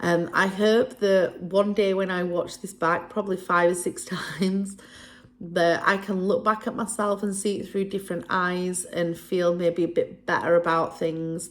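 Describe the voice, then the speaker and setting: A woman with a northern English accent, medium in pitch, at a moderate pace, with fairly even intonation. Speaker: vlogger. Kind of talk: personal vlog monologue. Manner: hesitant.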